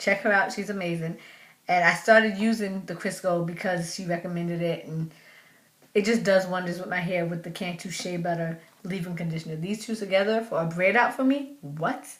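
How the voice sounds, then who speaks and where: A woman talks at a fairly quick pace. Her medium-pitched voice is somewhat breathy. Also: ordinary pitch variation. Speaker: natural hair vlogger. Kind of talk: casual vlog talk. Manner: fast.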